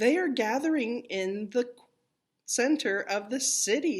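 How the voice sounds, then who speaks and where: A woman puts on a character voice. It is high-pitched and moves at a fairly slow pace. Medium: read story.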